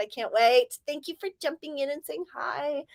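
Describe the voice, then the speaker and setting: Animated in tone, a woman with an American accent speaks with lively intonation. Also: dry, close sound with no echo. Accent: California accent shifting toward Southern. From Southern California. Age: 40s. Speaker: livestreamer and author. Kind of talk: casual livestream chat.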